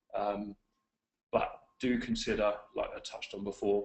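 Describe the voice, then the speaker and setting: The pace of this man's speech is moderate. He talks in an English accent. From England. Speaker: webinar presenter, client services executive. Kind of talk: webinar presentation. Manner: frequent fillers, hesitant.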